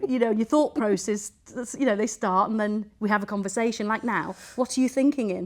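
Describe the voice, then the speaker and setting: A woman with an English accent and a fairly high pitch talks at a fairly quick pace with ordinary pitch variation. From England. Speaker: podcast host. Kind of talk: casual chat. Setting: in a mosque. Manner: animated.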